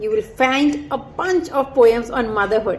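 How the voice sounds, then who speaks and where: Against noticeable background noise, a woman speaks at a high pitch. Her pace is fairly slow and her pitch variation ordinary. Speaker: author. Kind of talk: self-promotion and poetry reading.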